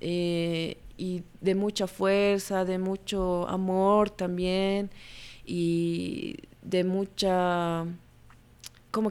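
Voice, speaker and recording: In a medium-pitched voice, a woman speaks with monotone, flat intonation. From Bolivia, La Paz. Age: 30s. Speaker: photojournalist. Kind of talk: interview.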